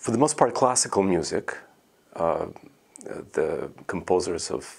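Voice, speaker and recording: A man with a Russian accent talks at a fairly slow pace. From Russia, Moscow. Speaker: composer. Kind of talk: interview. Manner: hesitant, many fillers.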